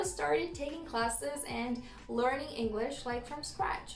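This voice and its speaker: Speaking at a fairly slow pace with a slight non-native accent, a woman with a high pitch is heard amid noticeable background noise and audible room echo. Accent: slight non-native accent, praised by viewers. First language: Romanian. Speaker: vlogger. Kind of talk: casual storytelling vlog.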